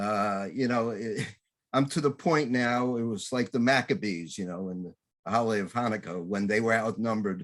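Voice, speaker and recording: Pitch varies in an ordinary way in an unremarkable speaking voice, delivered at a moderate pace. The background is silent and the recording very clean. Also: man. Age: 60s. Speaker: talk show host. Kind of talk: interview.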